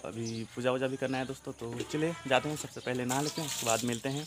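A man talks fast at a medium pitch with fairly even intonation over faint background noise.

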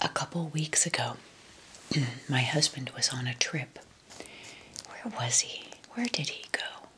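A woman whispering at a fairly slow pace. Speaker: lifestyle video host. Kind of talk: casual vlog chat. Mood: warm, calm, soothing. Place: home room.

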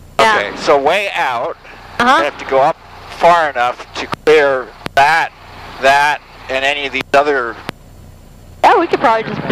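Delivered at a moderate pace, the voice has a dry sound with no echo over light background noise. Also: man. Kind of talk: flight lesson debrief. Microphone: headset.

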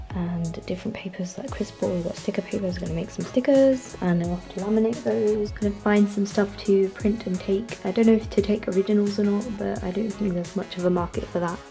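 Talking at a fairly quick pace with hardly any pauses, a woman shows ordinary pitch variation while clear music plays in the background. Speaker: comic artist vlogger. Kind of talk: casual vlog chat. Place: home room.

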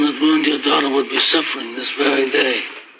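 Against noticeable background noise, a man speaks in a monotone, flat intonation at a moderate pace. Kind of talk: dramatic film dialogue. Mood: quiet, grave, reproachful. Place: office.

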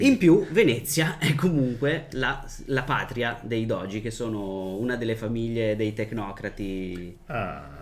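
A man with lively intonation, speaking at a fairly slow pace. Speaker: game master and podcast host. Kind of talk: tabletop role-playing game session. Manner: playful. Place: home room.

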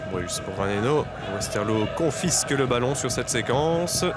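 Against noticeable background noise, the man's speech moves fairly slowly. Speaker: football commentator. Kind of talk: live football commentary, play-by-play over highlights, goal calls.

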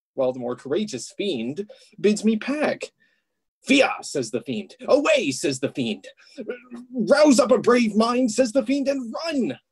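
A put-on character voice speaks at a fairly high pitch and a fairly slow pace. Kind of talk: comic Shakespearean clowning. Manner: playful, rambling, comic.

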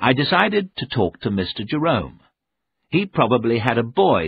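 The voice is plain reading aloud, set against a quiet background.

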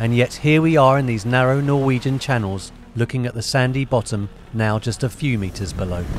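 The voice moves at a fairly quick pace with ordinary pitch variation, in a dry sound with no echo and light background noise. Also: man. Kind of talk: casual vlog chat. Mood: relaxed and happy. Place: boat.

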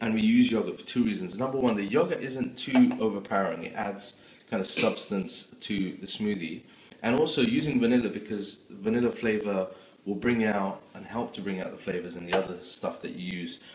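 Amid noticeable background noise, a man speaks at a fairly quick pace with ordinary pitch variation and big swings in loudness. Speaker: home cook vlogger. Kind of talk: tutorial. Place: kitchen. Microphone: phone near.

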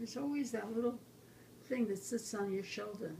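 Against light background noise, a woman speaks with a fairly high pitch in a dark, mellow, somewhat breathy tone. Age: 80s+. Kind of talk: interview answer. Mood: earnest, encouraging. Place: kitchen. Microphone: phone near.

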